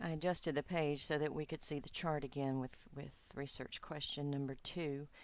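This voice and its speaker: In a Southern US accent, a woman talks. Her intonation stays fairly even. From US South, Georgia. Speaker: doctoral student. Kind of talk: recorded video message to advisor. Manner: hesitant, many fillers.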